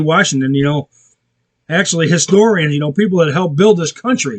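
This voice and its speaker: A man talks fairly quickly with an American accent. His pitch rises and falls in an ordinary way. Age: 60s. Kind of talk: casual monologue; devotional reading aloud.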